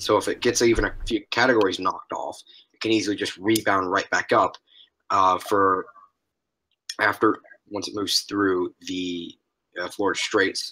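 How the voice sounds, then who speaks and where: The man puts on a raspy character voice, fairly low in pitch, moving at a moderate pace with long, frequent pauses. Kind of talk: casual, explanatory.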